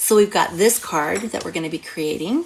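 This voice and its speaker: Noticeable background noise surrounds a woman's voice. She talks at a moderate pace with lively intonation. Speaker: craft demonstrator and card-making teacher. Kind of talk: tutorial. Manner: animated.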